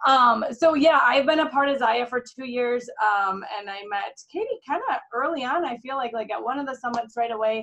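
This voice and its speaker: A woman with a Minnesotan accent, high-pitched with a bright, sharp tone, fairly quick and lively in intonation. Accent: Minnesota. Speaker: direct sales executive. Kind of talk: team training call. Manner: casual, chatty.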